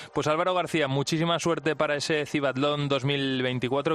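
This is a man speaking. His pitch moves in an ordinary way. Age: 30s. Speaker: radio host. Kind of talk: radio science and technology show.

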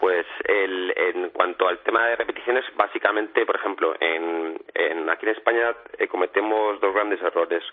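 Noticeable background noise behind a man speaking at a moderate pace, hardly any pauses. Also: very even loudness. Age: 40s. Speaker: strength training expert. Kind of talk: radio interview.

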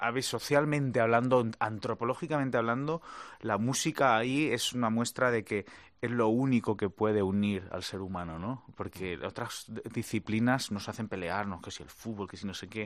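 Over a quiet background, a man talks at a moderate pace and medium pitch with ordinary pitch variation and big swings in loudness. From Spain (Madrid). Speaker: guitarist. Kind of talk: interview. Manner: halting.

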